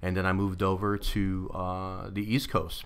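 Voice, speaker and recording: In a New York accent, a man speaks at a fairly slow pace with a very deep, low pitch. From Brooklyn, New York (Coney Island). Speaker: navy veteran, nonprofit founder. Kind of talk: podcast interview. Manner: hesitant, many fillers.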